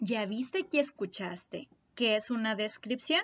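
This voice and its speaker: A woman's high-pitched voice. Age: 30s. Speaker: primary school teacher. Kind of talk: lesson for young children. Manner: slow and clear.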